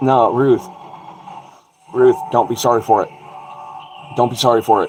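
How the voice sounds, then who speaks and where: Background noise is noticeable throughout. A male voice holds a moderate tempo over it. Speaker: livestream host. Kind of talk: casual livestream chat. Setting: livestream over wi-fi. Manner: loud.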